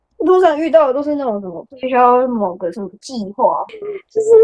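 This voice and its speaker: Here a woman uses a plain, everyday voice with lively intonation. She moves at a fairly quick pace. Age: 20s. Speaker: podcast guest. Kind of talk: casual chat.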